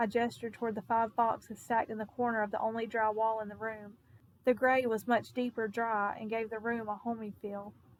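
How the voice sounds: Reading aloud in a natural voice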